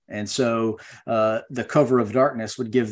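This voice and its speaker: A man with an American accent speaks in a monotone, flat way against a quiet background. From US South, Western North Carolina. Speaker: retired Marine veteran. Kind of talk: interview, personal war story.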